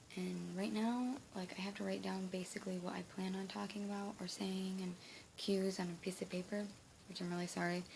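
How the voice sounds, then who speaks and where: Background noise is clearly audible. A woman speaks rather quickly. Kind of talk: casual talk to camera. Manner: hesitant, with pauses and stutter.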